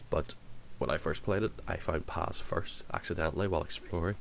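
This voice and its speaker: Vocal fry runs through this man's speech, which moves at a fairly quick pace with ordinary pitch variation. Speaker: video game reviewer. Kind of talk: casual talk to camera. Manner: hesitant, many fillers and repetitions.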